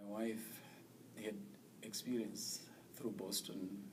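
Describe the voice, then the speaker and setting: In an American accent, the speaker moves at a moderate pace with monotone, flat intonation, and the room echo is audible. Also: man. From Zimbabwe. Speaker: immigrant, teacher and nonprofit manager. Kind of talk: interview. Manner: halting.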